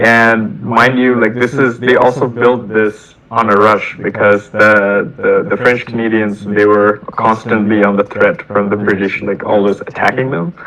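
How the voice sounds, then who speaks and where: In a Bengali accent, a man talks at a fairly slow pace with hardly any pauses, at medium pitch and with fairly even intonation. Noticeable background noise can be heard. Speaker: software engineer. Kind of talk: casual chat. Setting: video call. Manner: halting, repeats words.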